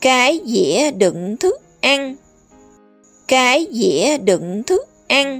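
Over music in the background, a woman speaks very slowly at a high pitch, with very wide pitch swings and long, frequent pauses. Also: very even loudness. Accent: Southern Vietnamese. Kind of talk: children's vocabulary teaching. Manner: slow, clear, repetitive.

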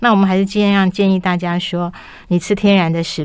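Speech comes fairly briskly. Its intonation stays monotone and flat. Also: woman, quiet background. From Taiwan. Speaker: health magazine chief writer; guest. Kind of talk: radio interview. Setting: radio studio. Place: studio.

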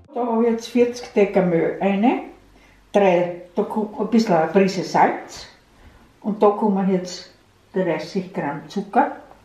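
A woman speaks at a medium pitch at a very slow pace, with long, frequent pauses. Her pitch variation is ordinary, and audible room echo surrounds her. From Burgenland, eastern Austria. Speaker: grandmother baker. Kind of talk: cooking demonstration. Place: kitchen. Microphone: camera far.

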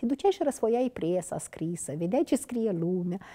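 A woman speaks at a moderate pace, her voice fairly high for a woman with a dark, mellow tone. Her pitch swings very widely, and the background is quiet. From Moldova, Ialoveni district; Moldova. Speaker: veteran TV and radio journalist; interview guest, TV presenter. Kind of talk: interview. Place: studio. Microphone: lapel.

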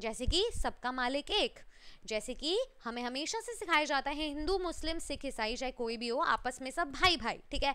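In a raised, projected voice, a woman speaks with an animated, bright, sharp tone and lively intonation. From India. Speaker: online teacher. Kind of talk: lecture. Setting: live stream. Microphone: headset.

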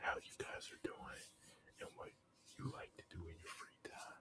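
A man whispers in a soft-spoken way. Noticeable background noise can be heard. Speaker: ASMR creator. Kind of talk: whispered ASMR chit-chat. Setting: home recording with background noise. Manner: soft, whispering. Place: home room. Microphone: studio mic.

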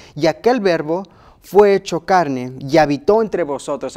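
At a moderate tempo, the intonation rises and falls in a lively way. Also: man, quiet background. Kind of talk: Bible study discussion. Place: studio. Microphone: lapel.

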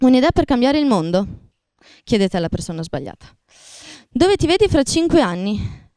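Her pitch high and swinging very widely, a woman speaks at a fairly quick pace with long, frequent pauses, her tone dark and mellow, the sound dry with no echo over a quiet background. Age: 20s. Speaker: singing contestant. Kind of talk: interview. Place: studio. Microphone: handheld.

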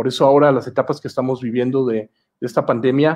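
The sound is dry and close, with no echo. Delivery is fairly quick, and intonation stays fairly even. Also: man. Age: 40s. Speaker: comic and storyboard artist. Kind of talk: online masterclass. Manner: hesitant, many fillers.

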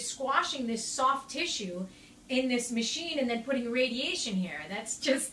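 A woman's high-pitched voice amid audible room echo and light background noise. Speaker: health advice host. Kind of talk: Q&A answer, casual advice. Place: home room. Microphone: phone near.

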